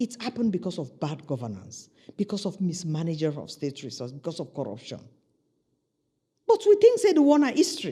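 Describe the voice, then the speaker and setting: A woman speaks in a dark, mellow tone of medium pitch, somewhat breathy. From Sierra Leone. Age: 60s. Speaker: senior UN official, former presidential aspirant. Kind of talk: interview. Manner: animated.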